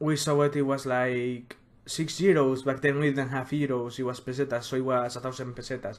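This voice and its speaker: This man's voice is fairly high and monotone, with flat intonation. He keeps a moderate pace. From Spain. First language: Spanish. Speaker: music collector youtuber. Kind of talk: casual collection showcase video.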